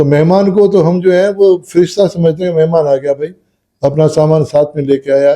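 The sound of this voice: A man with a fairly high pitch, a dark, mellow tone and fairly even intonation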